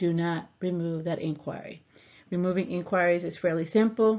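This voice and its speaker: The speaker keeps a moderate pace. Pitch varies in an ordinary way. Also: woman. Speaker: personal finance educator. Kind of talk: tutorial. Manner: hesitant, many fillers.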